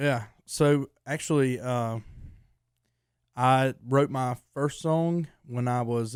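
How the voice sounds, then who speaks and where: In a Southern accent, a man speaks at a medium pitch with ordinary pitch variation. The recording is very clean, with a silent background. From North Carolina, Lexington. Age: 20s. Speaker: country singer. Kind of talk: interview. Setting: studio. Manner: halting.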